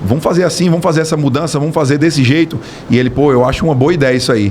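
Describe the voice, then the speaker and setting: A man at a very fast pace and fairly high pitch, with ordinary pitch variation and noticeable background noise. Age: 30s. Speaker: business owner, builder. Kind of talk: podcast interview.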